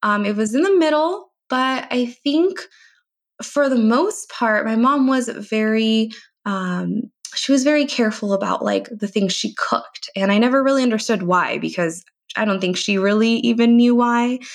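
A woman with a Californian accent speaks at a moderate pace, her fairly high voice carrying lively intonation. The recording is very clean, with a silent background. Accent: Californian American English. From US, East Bay, California. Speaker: registered dietitian. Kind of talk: interview.

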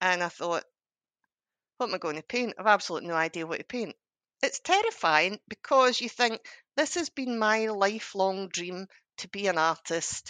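Over a quiet background, a woman with a Scottish accent speaks at medium pitch and a moderate pace, her tone bright and sharp and her intonation lively. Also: dry, close sound with no echo. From Scotland, Ayrshire. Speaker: artist and art teacher. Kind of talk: interview.

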